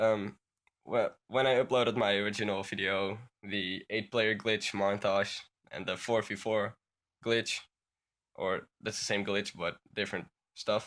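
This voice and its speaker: A fairly slow, monotone delivery with flat intonation and long, frequent pauses, on a very clean recording over a silent background. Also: man, fairly low pitch for a man. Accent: Dutch. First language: Dutch. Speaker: gaming YouTuber. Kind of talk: tutorial. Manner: halting.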